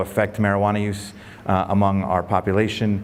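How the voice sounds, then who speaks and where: The speech goes at a very fast pace. Music plays in the background. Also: man. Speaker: professor. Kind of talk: lecture.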